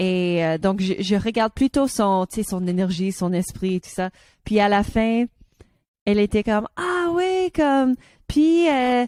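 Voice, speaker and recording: A woman's fairly high-pitched voice with a dark, mellow tone, a very slow pace and very wide pitch swings, on a very clean recording with a silent background and a dry, close sound with no echo. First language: English (speaking French). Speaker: podcast co-host. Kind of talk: casual chat. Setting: studio. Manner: halting.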